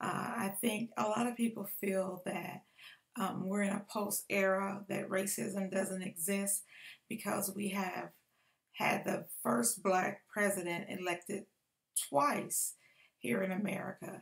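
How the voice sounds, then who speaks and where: At a very slow pace, a somewhat breathy woman speaks with ordinary pitch variation. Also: medium pitch for a woman. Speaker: public speaker. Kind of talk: speech. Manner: halting, many fillers.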